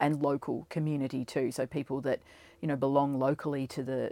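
Flat and monotone, the voice has an Australian accent and a dry, close sound with no echo. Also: woman. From Australia, Ballarat (Victoria). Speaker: school leader and teacher. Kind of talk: casual interview.

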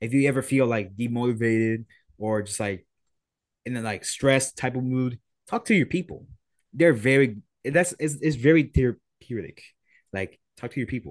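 With a Spanish accent, a man speaks at a moderate pace and medium pitch, using ordinary pitch variation and taking long, frequent pauses. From Puerto Rico. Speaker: music producer. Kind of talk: casual chat. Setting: video call.

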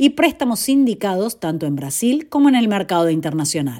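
A woman's dark, mellow voice with very wide pitch swings, on a very clean recording with a silent background. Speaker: news presenter. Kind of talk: scripted news reading, brisk and businesslike bond-market headlines. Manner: formal; steady, even-paced, neutral delivery.

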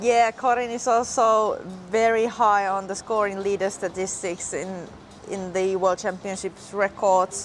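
With a Finnish accent, a woman speaks at a medium pitch and with fairly even intonation. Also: fairly slow pace. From Finland. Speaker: podcast host. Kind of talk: casual chat. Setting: outdoors by hotel pool.

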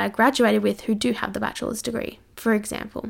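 A woman talks at a fairly quick pace with a fairly high pitch and vocal fry, her intonation monotone and flat. The recording is very clean, with a silent background. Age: 20s. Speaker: podcast host and fitness competitor. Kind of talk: casual solo Q&A chat. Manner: chatty, lots of fillers.

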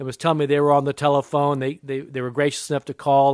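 A man talks at a very fast pace with an American accent. His pitch is fairly high. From San Diego, California. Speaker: minister and author. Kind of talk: devotional teaching talk.

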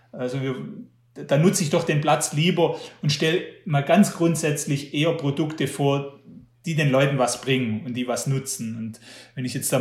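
This man's voice sits fairly high and is somewhat breathy. His intonation stays fairly even. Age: 40s. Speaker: magazine publisher and trail runner. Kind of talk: interview. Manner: hesitant, repeats words.

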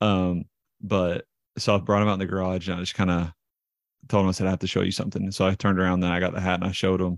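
With a Southern US accent, a man speaks very fast in a very deep, low pitch and monotone, flat intonation, the sound dry and close with no echo on a very clean recording with a silent background. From US South. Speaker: professional baseball pitcher. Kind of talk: casual chat. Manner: talkative, long-winded.

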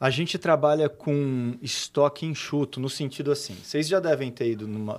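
On a very clean recording with a silent background, a man with a plain, everyday voice speaks at a moderate pace in a fairly high pitch with ordinary pitch variation. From Brazil, São Paulo state (Cosmópolis). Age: 40s. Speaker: entrepreneur. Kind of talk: casual interview chat.

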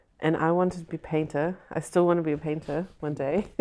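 A woman speaks with a New Zealand accent. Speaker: film director. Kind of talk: casual chat.

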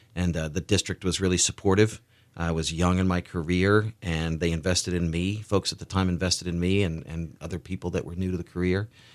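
In an American accent, a man with a very deep, low voice speaks fairly quickly in a flat monotone with hardly any pauses, on a very clean recording with a silent background. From US South, Tennessee (outside Nashville). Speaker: school superintendent. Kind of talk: interview.

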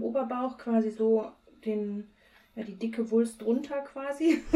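Her pitch fairly high and its variation ordinary, a woman talks at a very slow pace. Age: 30s. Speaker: podcast co-host. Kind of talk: casual chat. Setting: recording from home, remote.

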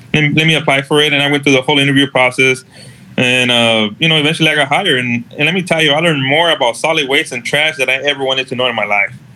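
Noticeable background noise sits behind a man who talks very fast in a fairly high voice with fairly even intonation. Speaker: code compliance manager. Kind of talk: casual interview. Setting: live online video stream.

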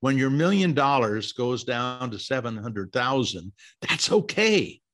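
Pitch swings very widely as a man talks. He goes at a very slow pace. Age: 70s. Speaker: investing author. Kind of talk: interview, explanatory.

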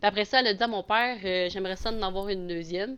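The background is quiet. A woman speaks at a very fast pace. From Quebec, Abitibi. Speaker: adoptee sharing her story. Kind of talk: casual chat.

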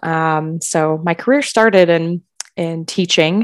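An ordinary speaking voice with an American accent, fairly slow in pace, dry and close with no echo, over a quiet background. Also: woman. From Wisconsin, Milwaukee. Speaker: college counselor. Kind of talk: casual chat.

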